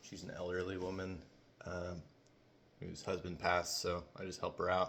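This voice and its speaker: This man speaks at a very deep, low pitch. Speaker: cleaning business owner. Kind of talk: casual talk to camera. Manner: hesitant, stumbles over words.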